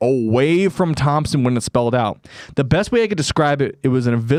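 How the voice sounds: This is a natural reading voice. The text is read out as written.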